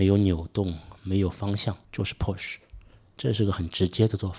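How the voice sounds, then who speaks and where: The voice is somewhat breathy, with fairly even intonation. The recording is very clean, with a silent background. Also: man. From Suzhou, Jiangsu, China. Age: 40s. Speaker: podcast host. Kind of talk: solo podcast monologue.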